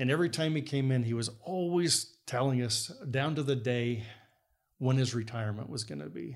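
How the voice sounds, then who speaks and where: A medium-pitched male voice with lively intonation and audible room echo. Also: moderate pace. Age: 60s. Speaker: structural engineer. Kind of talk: casual chat. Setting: guest's home.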